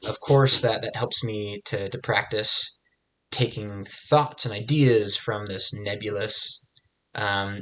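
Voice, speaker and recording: Against a quiet background, a man with a bright, sharp tone speaks at a very slow pace. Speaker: self-improvement vlogger. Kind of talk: unscripted monologue reflecting on essay practice. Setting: video recorded. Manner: halting, many fillers and repeated words.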